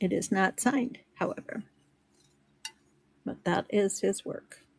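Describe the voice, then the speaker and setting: A woman with a medium pitch speaks at a very slow pace, sounding somewhat breathy. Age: 70s. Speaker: online resale seller. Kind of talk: live sales stream. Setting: livestream on social media. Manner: casual, chatty.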